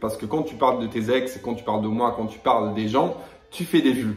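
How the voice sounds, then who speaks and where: A man is speaking. Room echo can be heard. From Italy and Netherlands. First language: Italian (speaking French). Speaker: YouTuber, reality TV personality. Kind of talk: heated rant video. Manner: confrontational; hesitant with fillers.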